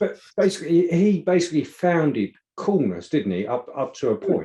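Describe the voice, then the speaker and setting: The tone is dark and mellow. The intonation is lively. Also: man, high pitch for a man, moderate pace. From Essex, England. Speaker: podcast host. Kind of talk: casual conversation. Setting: video call. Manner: halting, many repetitions.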